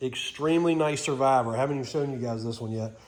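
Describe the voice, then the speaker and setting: Noticeable background noise behind a man's fairly high-pitched speech, its pitch varying in an ordinary way. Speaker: vehicle restoration hobbyist. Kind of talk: casual walkthrough video.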